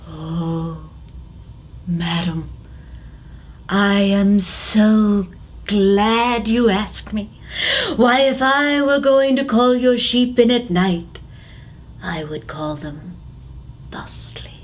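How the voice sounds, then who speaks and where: This put-on character voice sits at a fairly high pitch. It moves at a very slow pace with long, frequent pauses. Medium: read story. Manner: flowery, ingratiating.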